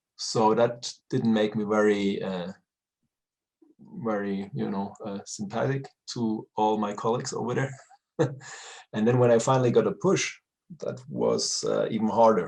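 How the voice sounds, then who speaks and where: Speaking at a moderate pace with a German accent, a man leaves long, frequent pauses. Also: fairly low pitch for a man, fairly even intonation. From Germany. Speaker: retired pro wrestler. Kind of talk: interview. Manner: halting, searching for words.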